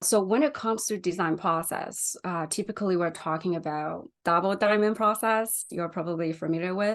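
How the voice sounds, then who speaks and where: A woman speaks with a Chinese accent and ordinary pitch variation. The background is quiet. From China. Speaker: UX designer. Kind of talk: interview.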